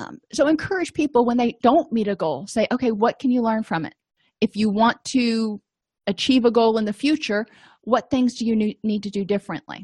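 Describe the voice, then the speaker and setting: A woman speaks in a somewhat breathy voice with fairly high pitch and ordinary pitch variation. The sound is dry and close with no echo over a quiet background. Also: fairly quick pace. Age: 40s. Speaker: therapist and educator. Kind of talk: lecture.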